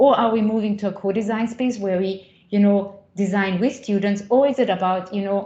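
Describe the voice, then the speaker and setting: Somewhat breathy and dark, mellow in tone, a woman speaks at a medium pitch and a moderate pace with fairly even intonation, with audible room echo around her. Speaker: associate professor in higher education. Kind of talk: conference talk. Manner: halting, many fillers and repetitions.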